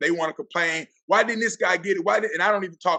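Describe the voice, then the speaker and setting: Bright and sharp in tone, this is a man's voice. His pitch variation is ordinary. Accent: Southern US. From Florida Panhandle, US South. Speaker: athletic director and football coach. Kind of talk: podcast interview. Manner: animated.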